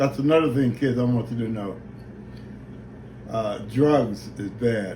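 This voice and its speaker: Audible room echo surrounds a man as he speaks. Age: old. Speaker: retired boxer and father. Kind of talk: family video message. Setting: video recorded by daughter holding camera. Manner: halting.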